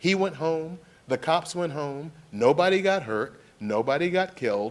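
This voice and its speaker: An animated male voice with lively intonation at a moderate pace. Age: 60s. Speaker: panelist on policing. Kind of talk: panel discussion.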